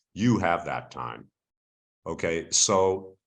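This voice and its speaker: With audible room echo, a man speaks at a very slow pace in a very deep, low voice. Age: 70s. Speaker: investigative journalist and trainer. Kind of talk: webinar lecture. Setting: video call.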